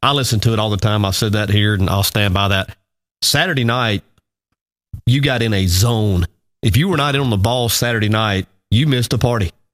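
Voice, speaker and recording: In an Alabama accent, a man with a fairly low pitch talks at a fairly quick pace, with ordinary pitch variation, long, frequent pauses and very even loudness. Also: dry, close sound with no echo. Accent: Southern US (Alabama). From US South, Alabama. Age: 40s. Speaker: radio show host. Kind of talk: casual morning show chat.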